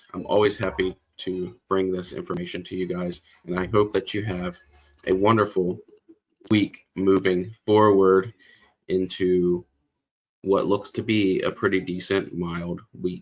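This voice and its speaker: A man with a very deep, low pitch and monotone, flat intonation, at a fairly slow pace with long, frequent pauses. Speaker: weather forecaster. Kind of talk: weather livestream.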